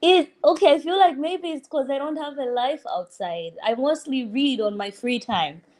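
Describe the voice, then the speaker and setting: A woman with a Malawian accent speaks high in pitch with very wide pitch swings. She keeps a moderate pace with hardly any pauses. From Tanzania. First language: Chichewa. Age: 20s. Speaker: law student. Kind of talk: casual chat.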